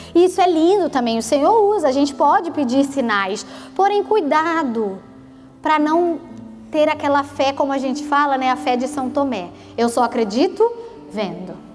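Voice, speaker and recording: In a Rio de Janeiro accent, the speaker uses an animated tone at a moderate pace with very wide pitch swings, amid audible room echo and music in the background. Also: woman, high pitch for a woman. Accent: carioca (Rio). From Brazil, Rio de Janeiro state (Petrópolis). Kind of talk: sermon. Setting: church prayer group with audience. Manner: animated, conversational.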